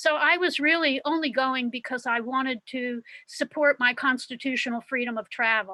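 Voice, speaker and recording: A woman with an American accent speaks in a high pitch with ordinary pitch variation. Her tone is bright and sharp, and the sound is dry and close with no echo. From US Midwest, Cincinnati. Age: 70s. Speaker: activist. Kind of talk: speech at online meeting.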